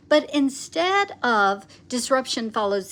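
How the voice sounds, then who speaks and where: On a very clean recording with a silent background, a woman with a fairly high pitch speaks loudly and passionately at a very slow pace. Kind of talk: livestream teaching. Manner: loud, passionate.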